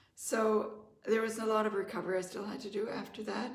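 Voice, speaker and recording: A woman's fairly high voice at a fairly quick pace, with audible room echo. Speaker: life coach. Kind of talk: testimony. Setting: live online masterclass.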